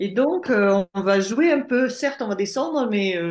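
Lively intonation from a woman at a medium pitch. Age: 60s. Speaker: life coach. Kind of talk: testimony. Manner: halting.

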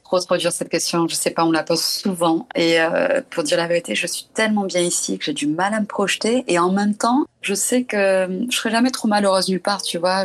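This woman speaks with a French accent at a medium pitch. Her pace is fairly quick. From southern France. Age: 30s. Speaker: documentary photographer. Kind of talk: casual interview.

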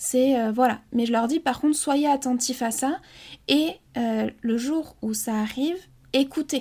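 A woman speaks at a fairly slow pace in a calm tone, her high-pitched voice dark and mellow. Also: very clean recording, silent background. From French Basque Country. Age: 20s. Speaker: hypnotherapist. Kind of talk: interview. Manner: calm, slow.

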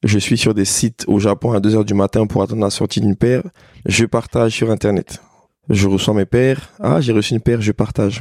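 A normal speaking voice from a man, fairly low in pitch and at a fairly quick pace. His intonation is fairly even, his loudness very even, and the sound is dry and close with no echo. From Côte d'Ivoire, Abidjan. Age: 30s. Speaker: entrepreneur. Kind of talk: casual interview.

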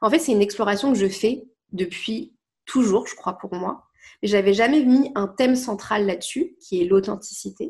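Against a quiet background, a woman speaks in a fairly high, somewhat breathy voice with lively intonation. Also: moderate pace. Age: 20s. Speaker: life coach. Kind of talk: casual chat.

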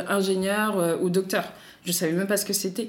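A woman's voice with fairly even intonation and audible room echo. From Paris, France. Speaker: doctoral student and association co-founder. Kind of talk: interview.

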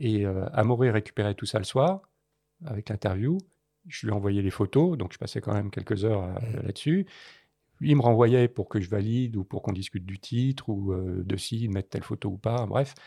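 Against a quiet background, a man's fairly low, dark, mellow voice comes across dry and close, with no echo. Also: ordinary pitch variation, moderate pace. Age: 60s. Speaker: war photographer. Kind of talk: interview.

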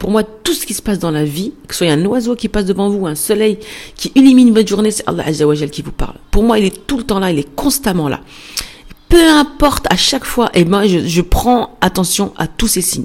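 Very wide pitch swings at a fairly quick pace, with noticeable background noise. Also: woman, medium pitch for a woman. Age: 40s. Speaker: podcast host, entrepreneur. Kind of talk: casual monologue. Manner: fast; spontaneous, hesitant.

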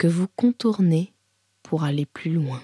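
Heard in a dry, close sound with no echo, a woman speaks with a fairly low pitch. Her tone is soothing, gentle, dark and mellow, and somewhat breathy. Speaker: yoga teacher. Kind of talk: guided meditation (yoga nidra), spoken image cues. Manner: slow, soft, calm, with pauses and repeated phrases; soothing, gentle, hypnotic.

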